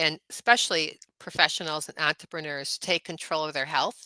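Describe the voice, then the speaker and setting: In a very clean recording with a silent background and a dry, close sound with no echo, a woman speaks at a very deep, low pitch with a bright, sharp tone. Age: 70s. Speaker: chiropractor and wellness coach. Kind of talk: podcast interview. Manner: hesitant, many fillers.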